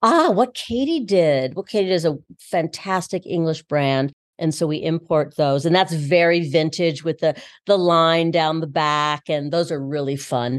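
This woman has an ordinary speaking voice at a fairly low pitch with ordinary pitch variation. She speaks at a fairly slow pace over a quiet background. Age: 60s. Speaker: bra-fitting boutique owner and former actor. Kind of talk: casual interview. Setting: in a boutique store.

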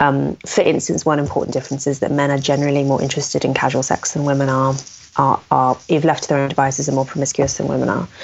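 Talking at a very fast pace, a woman uses a very deep, low pitch and a monotone, flat intonation over noticeable background noise. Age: 30s. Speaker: author and commentator on sex and culture. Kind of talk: interview.

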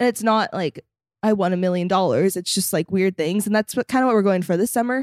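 A woman with an American accent at a very fast pace and medium pitch, ordinary pitch variation, very even loudness, a dry, close sound with no echo and a very clean recording with a silent background. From US West Coast, Los Angeles suburbs. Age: 20s. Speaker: reality TV personality and social media creator. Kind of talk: casual chat.

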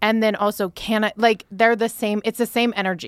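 A woman's ordinary speaking voice, fairly high in pitch and at a fairly quick pace, on a very clean recording with a silent background. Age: 40s. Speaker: entrepreneur, company founder and CEO. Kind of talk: casual chat.

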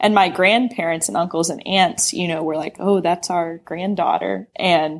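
Her normal speaking voice sits at a fairly low pitch for a woman, moving at a moderate pace. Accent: American. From US South, Knoxville, Tennessee. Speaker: sex education app founder. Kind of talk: podcast interview. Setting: remote call.

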